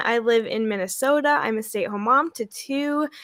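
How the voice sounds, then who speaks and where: A woman projects a raised voice in a high pitch with a bright, sharp tone. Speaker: former network-marketing coach, stay-at-home mom. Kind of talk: casual chat. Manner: loud.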